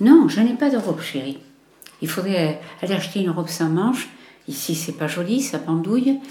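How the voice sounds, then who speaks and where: A woman speaks at a medium pitch and moderate pace with very wide pitch swings and long, frequent pauses, with audible room echo. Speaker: documentary interviewee, grandmother. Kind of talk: intimate conversation. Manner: halting.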